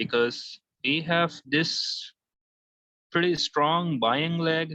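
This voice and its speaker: A man with a non-native accent speaks at a very slow pace. His voice is fairly high, bright and sharp, with fairly even intonation. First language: not English. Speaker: forex trader. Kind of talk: tutorial. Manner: halting.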